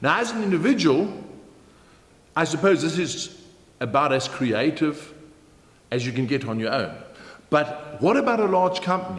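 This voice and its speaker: Lively intonation in a South African accent, at a moderate pace with long, frequent pauses. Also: man, fairly high pitch for a man. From Germany. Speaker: motivational keynote speaker. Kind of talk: business training talk to camera.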